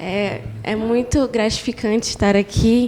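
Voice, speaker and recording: A woman's fairly high, monotone, flat voice against noticeable background noise. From Roraima, northern Brazil. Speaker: church member guest. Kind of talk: casual religious podcast chat.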